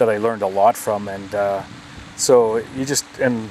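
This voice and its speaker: A man's fairly low voice with an Albertan accent over noticeable background noise. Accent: Canadian (Alberta). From Alberta, Canada. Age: 60s. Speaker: golf club manager, retired oil executive. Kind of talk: casual interview. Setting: outdoors in a backyard.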